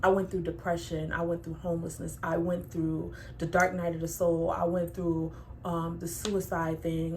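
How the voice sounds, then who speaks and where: Noticeable background noise and audible room echo fill this recording of a woman with a fairly low pitch. She talks in a monotone, flat intonation. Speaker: tarot reader. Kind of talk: tarot reading.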